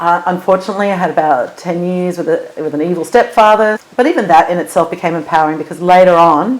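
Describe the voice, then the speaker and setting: A woman talks at a very fast pace with a fairly low pitch and ordinary pitch variation. Noticeable background noise runs underneath. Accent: American. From Los Angeles, USA. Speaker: singer and funeral celebrant. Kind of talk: interview answer.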